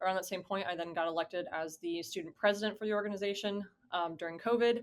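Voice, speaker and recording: In an American accent, a woman speaks in an ordinary speaking voice at a medium pitch with ordinary pitch variation. The recording is very clean, with a silent background. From US South (Georgia). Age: 20s. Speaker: college esports administrator. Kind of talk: interview. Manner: casual, many fillers and restarts.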